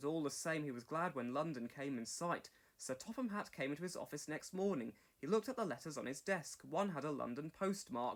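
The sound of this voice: Speaking at a fairly quick pace, a man uses lively intonation at a fairly high pitch.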